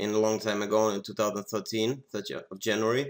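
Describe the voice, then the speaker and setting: Very clean recording with a silent background: a man with a fairly low pitch, fairly even intonation and a moderate pace. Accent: Russian. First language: Russian. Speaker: poker software developer. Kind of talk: tutorial. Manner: halting.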